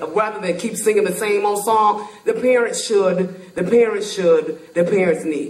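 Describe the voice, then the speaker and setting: Audible room echo surrounds a fairly slow pace. There are hardly any pauses, and the pitch varies in an ordinary way. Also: woman, medium pitch for a woman. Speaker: parent panelist. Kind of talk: panel discussion. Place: stage.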